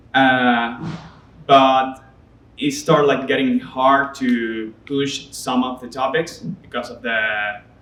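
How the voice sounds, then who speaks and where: Over noticeable background noise, a man with a Spanish accent speaks very slowly at a medium pitch, his intonation fairly even and his loudness swinging widely. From Venezuela. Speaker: artist. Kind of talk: interview. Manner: halting.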